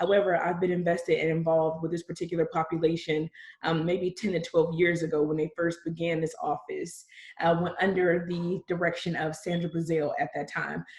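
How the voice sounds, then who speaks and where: Her voice is somewhat breathy and fairly low in pitch, and the woman speaks at a fairly quick pace in a monotone, flat intonation. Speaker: county reentry office director. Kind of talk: panel self-introduction. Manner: fast.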